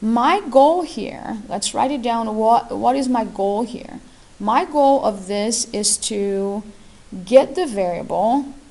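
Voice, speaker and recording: Very slowly and with lively intonation, a woman with a non-native accent speaks in a fairly high voice of dark, mellow tone. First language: not English. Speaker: math teacher. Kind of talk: tutorial.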